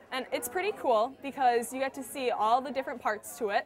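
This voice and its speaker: A woman's high-pitched voice at a moderate pace, with crowd noise in the background. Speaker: student tour guide. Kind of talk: explanatory tour talk to children. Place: classroom.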